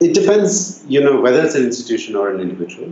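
Male speech with audible room echo, set against noticeable background noise. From India (Bangalore). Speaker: social enterprise founder and CEO. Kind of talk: interview conversation.

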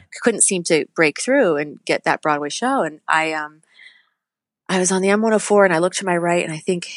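In an American accent, the speaker has an unremarkable speaking voice, talking at a fairly quick pace with ordinary pitch variation in a dry, close sound with no echo. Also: woman. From New Hampshire, US. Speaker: musical theater actress. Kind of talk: casual interview.

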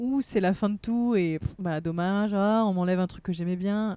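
A woman with a dark, mellow tone speaks at medium pitch with ordinary pitch variation. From Réunion. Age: 30s. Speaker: TV presenter and life coach. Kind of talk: casual chat. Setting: camper van on the seafront.

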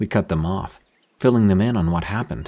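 The man's voice has a dark, mellow tone. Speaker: horror story narrator. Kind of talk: ghost story telling, scripted narration. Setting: studio.

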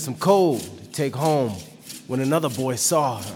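Noticeable background noise fills the clip. Through it, a man talks with lively intonation. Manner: earnest, impassioned, storytelling.

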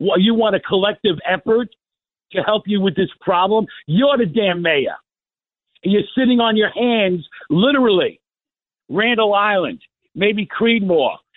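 A high-pitched man at a fairly slow pace, with long, frequent pauses and very even loudness. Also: ordinary pitch variation. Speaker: caller. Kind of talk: phone-in call. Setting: phone call. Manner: sarcastic.

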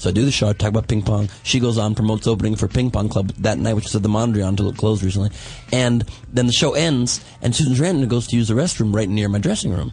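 A very fast pace with very even loudness and ordinary pitch variation, over noticeable background noise. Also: man, fairly low pitch for a man. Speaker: comedian. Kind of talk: casual chat. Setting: studio.

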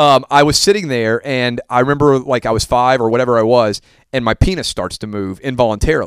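A man with an unremarkable speaking voice and an American accent, medium pitch, ordinary pitch variation, and a fairly quick pace, in a dry, close sound with no echo. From US South. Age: 30s. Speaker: sports broadcaster. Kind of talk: casual chat.

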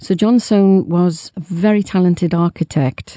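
A woman with a southern English accent has a fairly low, dark, mellow voice with ordinary pitch variation. The sound is dry and close, without echo. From England, London. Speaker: tour guide. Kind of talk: call-in advice.

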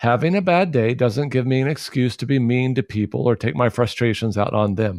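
A man talks in a normal speaking voice with ordinary pitch variation, recorded dry and close with no echo against a quiet background. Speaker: pastor. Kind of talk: interview on faith and mental health.

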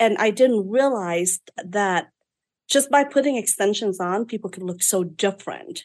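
A woman speaks with a Vietnamese accent at a medium pitch. Her pitch variation is ordinary. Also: moderate pace. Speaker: beauty business owner. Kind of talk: interview storytelling. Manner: outspoken.

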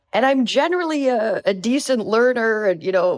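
The voice moves at a fairly slow pace while the pitch swings very widely. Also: woman, very clean recording, silent background. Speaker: Spanish learner. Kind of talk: interview, casual chat.

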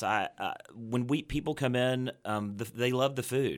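A man with an unremarkable speaking voice and an American accent talks at medium pitch and a moderate pace on a very clean recording with a silent background. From Fort Worth, Texas. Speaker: restaurant owner. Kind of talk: interview.

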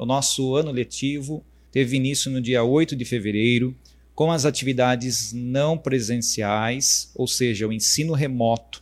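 The speaker is a man with a medium pitch and ordinary pitch variation. The recording is very clean, with a silent background. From Brazil, Votorantim, São Paulo state. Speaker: municipal education secretary, former teacher. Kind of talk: interview on a live stream. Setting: live stream. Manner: halting, many fillers.

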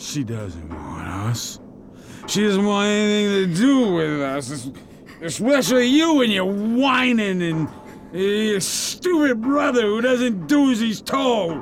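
A put-on character voice moves slowly with big pitch swings. Faint background noise sits behind it. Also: man, high pitch for a man.

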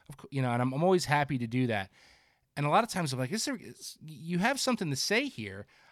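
With a New Jersey accent, a man talks very fast at a fairly high pitch, his pitch swinging very widely and his loudness shifting a lot. The recording is very clean, with a silent background. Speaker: fishing editor and podcast host. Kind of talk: casual chat.

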